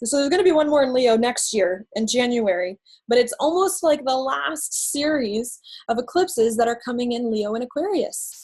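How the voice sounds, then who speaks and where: A woman talks with very wide swings in pitch. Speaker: astrologer. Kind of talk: live stream talk. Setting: Facebook live video. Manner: fast.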